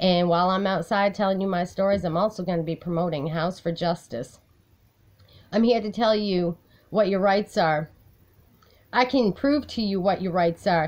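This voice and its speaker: In a quiet background, a woman speaks at a moderate pace with ordinary pitch variation and long, frequent pauses. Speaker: personal advocate vlogger. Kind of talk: casual vlog chat. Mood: aggrieved, determined. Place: home room. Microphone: phone near.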